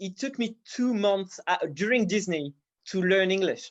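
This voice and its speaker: Against a quiet background, a man with a non-native accent speaks at a high pitch. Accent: non-native English, imperfect. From France. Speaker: 2D animator and teacher. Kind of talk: online feedback stream Q&A. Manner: halting, many repetitions.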